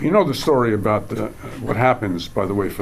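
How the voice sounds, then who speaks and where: Fairly quick pace and fairly even intonation amid audible room echo. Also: man. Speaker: professor and panel chair. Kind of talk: academic panel presentation. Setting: stage with audience. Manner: halting, many fillers.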